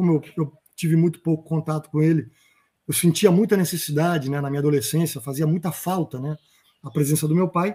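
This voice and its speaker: A man talks fairly quickly in a fairly high pitch. His tone is dark and mellow, with ordinary pitch variation. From Rio de Janeiro, Brazil. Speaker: stage actor. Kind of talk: interview answer.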